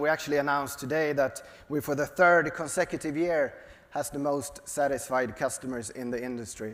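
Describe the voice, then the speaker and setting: A man's fairly high, lively voice with a Swedish accent, at a fairly quick pace, over noticeable background noise. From Sweden. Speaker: software company executive. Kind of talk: onstage interview. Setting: stage with audience. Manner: halting.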